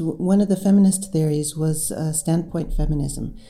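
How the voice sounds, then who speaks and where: The speaker has an American accent. Noticeable background noise sits behind the voice. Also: woman. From United States. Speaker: professor and author. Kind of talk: interview.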